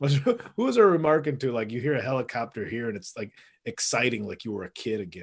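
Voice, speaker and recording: Speaking very fast at medium pitch with ordinary variation, a man comes through on a very clean recording with a silent background. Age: 40s. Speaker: comedian and podcast co-host. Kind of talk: casual chat.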